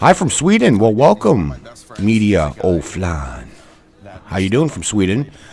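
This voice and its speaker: There's a man talking. Background noise is noticeable throughout. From Canada. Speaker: hockey livestreamer. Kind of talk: casual live stream chat. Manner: casual, animated.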